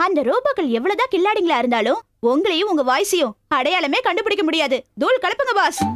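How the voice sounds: A woman uses a put-on character voice with extremely high pitch and a fairly bright tone. She talks at a fast pace with big pitch swings.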